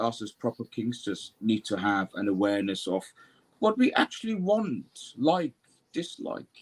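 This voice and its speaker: A man talks at a moderate pace with very wide pitch swings, captured in a dry, close sound with no echo. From Germany, Turkish parents. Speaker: mental health professional. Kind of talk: panel discussion. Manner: talkative.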